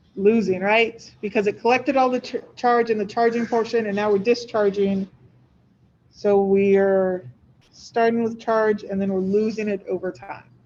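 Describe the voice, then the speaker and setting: A woman speaks at a moderate pace in a normal speaking voice. Her pitch is fairly high and her intonation fairly even. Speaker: physics instructor. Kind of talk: lecture.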